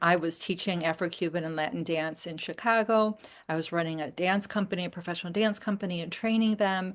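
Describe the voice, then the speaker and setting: With hardly any pauses, a woman with a fairly low pitch talks at a fairly quick pace in fairly even intonation, an ordinary speaking voice over a quiet background. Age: 60s. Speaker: memoirist and dance teacher. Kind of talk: interview conversation.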